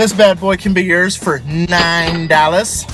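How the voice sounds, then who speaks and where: A man talks in a high pitch with ordinary pitch variation. The sound is dry with no echo, and music plays clearly in the background. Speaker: food reviewer. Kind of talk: casual vlog chat. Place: car. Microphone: phone near.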